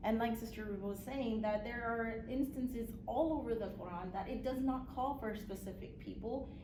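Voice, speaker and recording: A woman talks at a moderate pace with fairly even intonation and a fairly high pitch, hardly pausing. Noticeable background noise and audible room echo fill the recording. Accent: Spanish. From Puerto Rico, raised in the US. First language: Spanish. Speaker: guest speaker on religion. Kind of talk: talk to a class.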